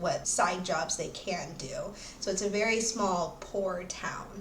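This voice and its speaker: A woman with a medium pitch keeps a moderate pace, her voice carrying audible room echo over noticeable background noise. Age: 20s. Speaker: book reviewer, YouTuber. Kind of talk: casual book review. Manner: casual, hesitant with fillers.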